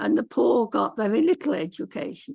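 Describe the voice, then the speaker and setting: A woman speaks at a fairly slow pace with an English accent. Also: dry, close sound with no echo. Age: 90s. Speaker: author. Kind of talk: interview.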